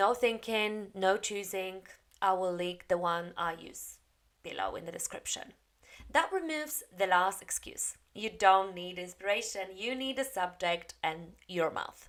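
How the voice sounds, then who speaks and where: The speaker has a Polish accent and talks at a fairly slow pace. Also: woman, medium pitch for a woman, ordinary pitch variation, big swings in loudness. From Poland. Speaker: English teacher. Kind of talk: tutorial.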